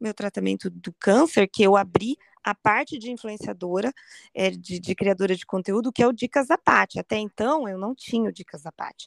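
A woman speaks at a moderate pace in a fairly high pitch with ordinary pitch variation, an ordinary speaking voice. The recording is very clean, with a silent background. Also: dry, close sound with no echo. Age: 40s. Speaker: cancer survivor and online community founder. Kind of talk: interview testimony.

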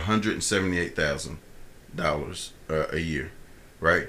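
Bright and sharp in tone, the voice moves at a fairly quick pace with ordinary pitch variation and audible room echo. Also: man. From Columbus, Ohio. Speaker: podcast co-host. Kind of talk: casual chat. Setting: studio.

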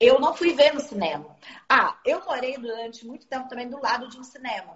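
A woman with a high pitch at a moderate pace. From Rio de Janeiro, Zona Norte. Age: 40s. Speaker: film distributor. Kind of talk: casual interview.

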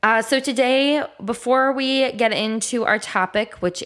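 A woman speaks slowly in a nasal, fairly bright tone with ordinary pitch variation.

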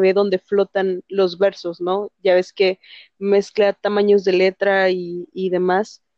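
With a Mexican accent, a woman speaks at a medium pitch in a dark, mellow tone, the sound dry and close with no echo. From Mexico. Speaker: book reviewer. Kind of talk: casual chat.

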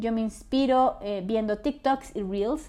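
A woman's dark, mellow, high voice at a fairly slow pace, with ordinary pitch variation. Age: 20s. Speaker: podcast host and content creator. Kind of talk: solo personal storytelling podcast.

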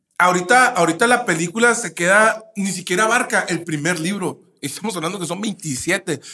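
A man's raised, projected voice, high in pitch, with hardly any pauses. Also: ordinary pitch variation, moderate pace. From Mexico, Nayarit. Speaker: podcast co-host, psychologist. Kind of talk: casual chat.

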